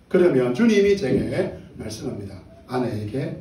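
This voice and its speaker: Noticeable background noise and audible room echo surround the recording. A man speaks in a fairly high voice with very wide pitch swings. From Gyeongsang province, South Korea. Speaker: pastor. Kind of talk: sermon.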